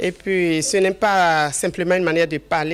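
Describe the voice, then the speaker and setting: A woman speaks in a Beninese accent at a fairly slow pace. Her pitch is fairly low and her intonation fairly even. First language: Fon (speaking French). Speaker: journalist in local language. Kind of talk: interview.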